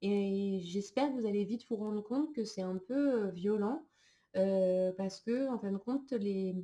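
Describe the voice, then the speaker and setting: A woman's dark, mellow voice at a medium pitch, fairly slow in pace, with ordinary pitch variation. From France. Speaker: psychologist and trainer. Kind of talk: recorded online lecture. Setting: screen-shared slideshow recording. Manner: hesitant, many filler sounds.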